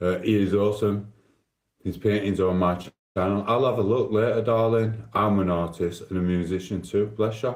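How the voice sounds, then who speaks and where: A man with a Sheffield accent, fairly low pitch, fairly even intonation and a moderate pace, with audible room echo. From South Yorkshire, England (Sheffield). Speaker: live streamer. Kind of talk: casual live stream chat.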